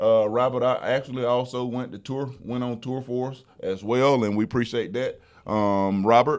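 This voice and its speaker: A man speaks with a Southern US accent at a medium pitch, with fairly even intonation. He hardly pauses, and the background is quiet. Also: moderate pace. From South Alabama. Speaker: trucking company driver retention director, podcast host. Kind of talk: casual chat.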